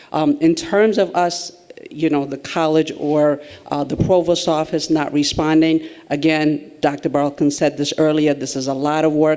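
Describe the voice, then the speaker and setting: Man's fairly high-pitched, monotone, flat voice at a moderate pace, with noticeable background noise. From refugee, grew up abroad. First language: not English. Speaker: college administrator. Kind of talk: meeting discussion. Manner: halting.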